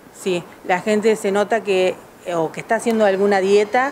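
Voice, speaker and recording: A woman at a fairly slow pace, over light background noise. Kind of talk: interview answer. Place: shop. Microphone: handheld.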